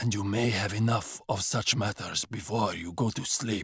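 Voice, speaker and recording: A growling put-on character voice from a man, fairly low in pitch with fairly even intonation. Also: moderate pace. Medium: read story. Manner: grim, terse.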